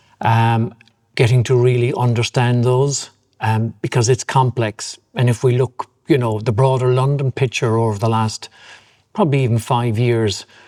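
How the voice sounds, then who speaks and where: A man speaks in a dark, mellow tone with monotone, flat intonation and very even loudness. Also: medium pitch for a man, moderate pace. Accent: Cork. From Ireland, Cork. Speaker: property developer chairman. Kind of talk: interview.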